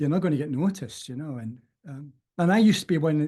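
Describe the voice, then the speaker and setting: A man's fairly high, somewhat breathy voice with a dark, mellow tone, fairly quick pace and ordinary pitch variation. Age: 60s. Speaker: self-development course teacher. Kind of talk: casual interview chat.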